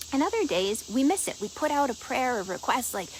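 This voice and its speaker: Her pace is fairly quick and her pitch high. The woman sounds animated, with noticeable background noise around her. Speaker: energy and intuition coach, show host. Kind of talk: casual teaching talk to live audience. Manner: fast.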